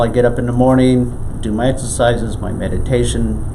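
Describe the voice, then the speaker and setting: A man's speech carries audible room echo, with noticeable background noise also present. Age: 60s. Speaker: qigong instructor. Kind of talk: interview. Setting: in a home.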